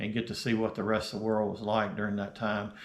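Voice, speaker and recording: This man speaks with an American accent. His pitch sits fairly low. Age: 60s. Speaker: retired YouTuber. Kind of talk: casual vlog talk. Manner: halting, many fillers.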